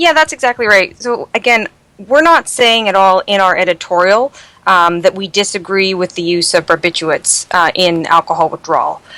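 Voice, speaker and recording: With a Canadian accent, a woman speaks in an unremarkable speaking voice at medium pitch with ordinary pitch variation. Her fairly quick delivery comes through a dry, close sound with no echo. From Canada. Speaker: toxicology fellow, emergency physician. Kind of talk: medical podcast interview.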